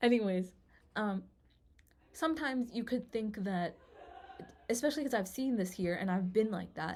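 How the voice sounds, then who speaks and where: With an American accent, a woman speaks in a fairly high, somewhat breathy voice. She keeps a moderate pace broken by long, frequent pauses. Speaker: singer and YouTuber. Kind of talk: casual vlog monologue. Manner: rambling, filler-heavy; animated.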